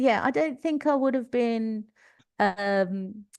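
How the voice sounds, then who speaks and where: A woman speaks in a Cockney accent at a fairly slow pace. The background is quiet. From East London. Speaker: leadership coach, former teacher. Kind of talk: podcast interview.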